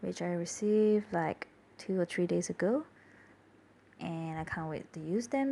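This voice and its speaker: Soft-spoken, a woman talks at a fairly slow pace. Her pitch varies in an ordinary way. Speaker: journaling hobbyist. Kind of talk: casual voiceover narration.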